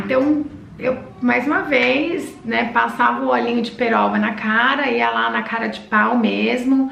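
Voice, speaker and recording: A woman speaks at a fairly slow pace, with noticeable background noise and audible room echo around her. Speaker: vlogger. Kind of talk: casual vlog talk.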